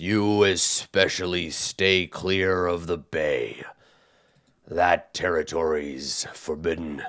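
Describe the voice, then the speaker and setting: In a put-on character voice, a man speaks raspily at a very slow pace with a very deep, low pitch and fairly even intonation, on a very clean recording with a silent background. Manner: gruff, warning.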